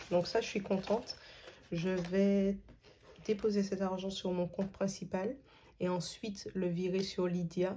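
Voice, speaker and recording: A woman speaks at a medium pitch in a somewhat breathy, flat monotone. She talks very slowly, with long, frequent pauses. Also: very even loudness. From Martinique. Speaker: budgeting youtuber. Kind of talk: casual vlog tutorial. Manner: hesitant, many filler sounds.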